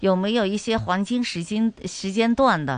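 A woman with a normal speaking voice talks at a moderate pace and medium pitch. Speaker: radio host. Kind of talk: radio talk show. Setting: studio.

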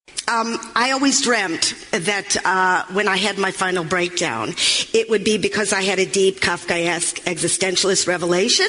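Noticeable background noise is present. The talking runs at a moderate pace. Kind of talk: stand-up comedy, dry confessional storytelling about a breakdown, aimed at laughs.

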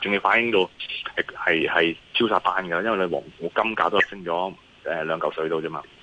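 Delivered at a moderate pace, the speech carries a Hong Kong accent and fairly even intonation. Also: man, very deep, low pitch for a man. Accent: Hong Kong Cantonese. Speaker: investment analyst. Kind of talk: phone interview on markets. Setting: phone call. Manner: hesitant, many fillers.

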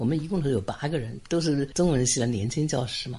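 A man's fairly high, somewhat breathy voice at a very fast pace with lively intonation. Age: 80s+. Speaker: retired literature professor. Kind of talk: interview. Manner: brisk, light speech.

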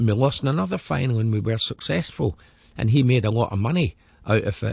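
Speaking with a west of Scotland accent, a man talks fairly quickly at medium pitch with lively intonation. His voice is somewhat breathy. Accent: Scottish (west of Scotland). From Scotland, Glasgow area. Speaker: former professional footballer. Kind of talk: interview, life story.

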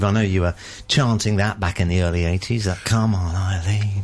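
With fairly even intonation, a man speaks at a moderate pace in a very deep, low pitch. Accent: British. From Britain. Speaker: radio host. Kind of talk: radio current affairs discussion. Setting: radio studio.

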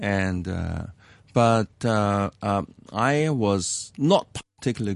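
Ordinary pitch variation in a Hong Kong accent, against a quiet background. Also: man. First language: Cantonese. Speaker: economics professor. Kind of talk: interview about life story. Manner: hesitant with many fillers.

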